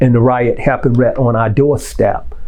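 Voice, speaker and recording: A man in an American accent, medium in pitch and monotone, flat in intonation, at a moderate pace, with audible room echo and noticeable background noise. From Detroit, Michigan (US Midwest). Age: 60s. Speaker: formerly incarcerated juvenile lifer. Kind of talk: personal testimony interview. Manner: halting, many filler ums.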